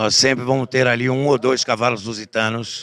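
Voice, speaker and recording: A man with a bright, sharp tone speaks at a moderate pace with fairly even intonation. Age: 60s. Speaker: horse breeders' association president and auctioneer. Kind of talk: interview. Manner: halting, with fillers.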